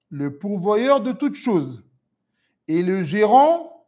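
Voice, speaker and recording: Very slowly, a man speaks at a high pitch in a dark, mellow tone. His voice moves through very wide pitch swings. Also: very clean recording, silent background. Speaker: Islamic religious teacher. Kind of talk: lecture. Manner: deliberately slow.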